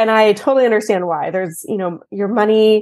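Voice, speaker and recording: In an American accent, a woman with a plain, everyday voice speaks at a fairly quick pace with ordinary pitch variation, over a quiet background. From Texas. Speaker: accountant. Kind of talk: interview.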